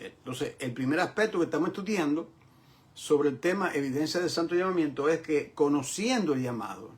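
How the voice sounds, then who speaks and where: Amid noticeable background noise, a man with a fairly high pitch speaks at a moderate pace with lively intonation. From New York, Bronx. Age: 70s. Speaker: pastor. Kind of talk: lecture. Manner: repetitive, emphatic.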